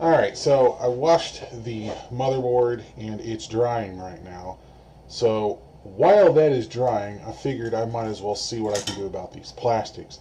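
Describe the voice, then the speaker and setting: Medium-pitched male voice at a moderate pace, ordinary pitch variation and big swings in loudness, over noticeable background noise. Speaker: electronics repair youtuber. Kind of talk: tutorial. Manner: soft-spoken. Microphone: camera mic distorts when loud.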